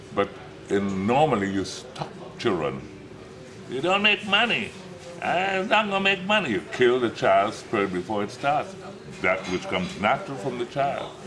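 A man talks at a moderate pace with very wide pitch swings and long, frequent pauses. Noticeable background noise sits behind him. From Trinidad. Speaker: showman, actor, choreographer. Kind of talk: nightclub act monologue to audience. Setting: live nightclub stage. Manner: flamboyant, theatrical.

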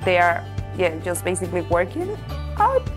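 A woman speaks with a Spanish accent. Music plays clearly in the background. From Venezuela. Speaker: portfolio facilities manager. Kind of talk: corporate employee profile interview answer. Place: office. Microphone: lapel.

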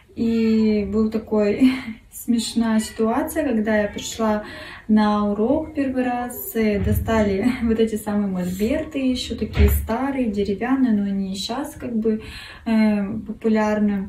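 Against audible room echo and light background noise, a woman speaks very slowly at a fairly high pitch with fairly even intonation. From Russia, Kurgan; Russia. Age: 30s. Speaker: art contest entrant, design student. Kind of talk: self-introduction video; contest self-presentation. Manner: halting, many fillers. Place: home room. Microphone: phone near.

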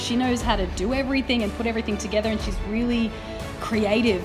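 Clear music plays behind the voice. The speaker is a woman. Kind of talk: casual interview chat. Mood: warm, admiring, playful. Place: studio.

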